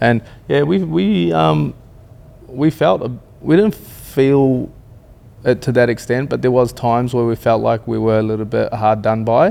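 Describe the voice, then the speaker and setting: With an Australian accent, a man speaks at a moderate pace. His medium pitch carries lively intonation. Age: 30s. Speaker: reality TV contestant, builder. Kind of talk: casual interview chat.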